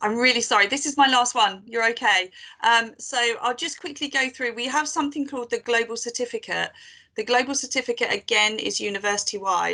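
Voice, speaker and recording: Against a quiet background, a woman speaks at a fairly quick pace in a high pitch, her bright, sharp tone carrying ordinary pitch variation. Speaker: university team manager. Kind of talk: conference presentation. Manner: fast.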